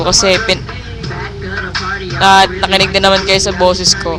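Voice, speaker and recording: A man speaks in a raised, projected voice with a high pitch. Music plays in the background. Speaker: online roleplay community member giving shout-outs. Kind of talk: casual vlog greetings.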